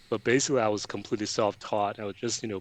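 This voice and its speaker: There's a man speaking in a fairly low voice against a quiet background. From Hong Kong (born in China). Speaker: concept designer and sculptor. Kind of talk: interview. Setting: video call from his studio. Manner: halting, many fillers.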